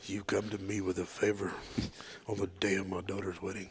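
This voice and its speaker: A man does a put-on character voice at fairly low pitch and a fairly quick pace. His intonation stays monotone and flat over clear background noise. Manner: menacing, solemn.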